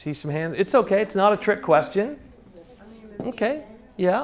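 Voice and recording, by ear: A man speaks at a moderate pace with a high pitch and big pitch swings.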